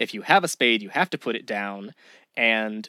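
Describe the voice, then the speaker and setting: An unremarkable speaking voice, this man's medium pitch and moderate pace come through with a dry, close sound with no echo on a very clean recording with a silent background. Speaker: podcast host. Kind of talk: casual chat.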